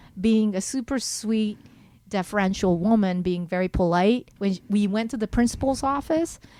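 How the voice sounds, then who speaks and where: This woman has a Japanese accent and a fairly high pitch, with lively intonation. She talks at a moderate pace on a very clean recording with a silent background. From Japan and US (Seattle, Maryland). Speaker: musician and comedian. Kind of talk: casual chat.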